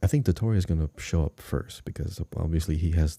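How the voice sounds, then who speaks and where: On a very clean recording with a silent background, a man speaks with a very deep, low pitch, a dark, mellow tone, ordinary pitch variation and a somewhat breathy quality, the sound dry and close with no echo. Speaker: podcast host. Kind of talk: casual podcast talk.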